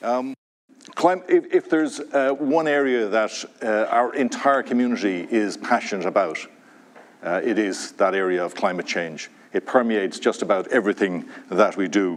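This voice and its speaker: Someone with an Irish accent speaks at a moderate pace. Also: man. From Ireland, Dublin. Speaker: university president. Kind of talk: welcome speech. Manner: halting.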